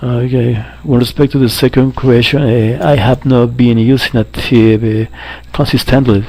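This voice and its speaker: A man speaks at a fairly slow pace in a monotone, flat intonation, with noticeable background noise. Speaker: English language student. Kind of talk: spoken assignment answers. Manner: halting with fillers.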